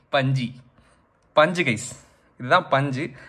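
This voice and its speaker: A male speaker with ordinary pitch variation against a quiet background. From Tamil Nadu, India. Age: 30s. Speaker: gamer and tech YouTuber. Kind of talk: casual unboxing talk to camera. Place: home room. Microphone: phone near.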